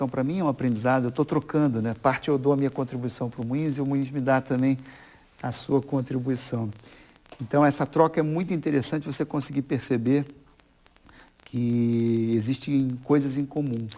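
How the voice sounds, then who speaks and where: A man with a Rio de Janeiro accent, medium pitch, dark, mellow tone, fairly even intonation and moderate pace. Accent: Rio de Janeiro (carioca). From Brazil, Rio de Janeiro.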